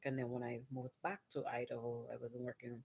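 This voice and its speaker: A quiet woman's voice at a moderate pace, with a dry, close sound and no echo. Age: 30s. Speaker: vlogger and nursing student. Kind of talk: casual vlog monologue. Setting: at home at night. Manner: quiet, hushed.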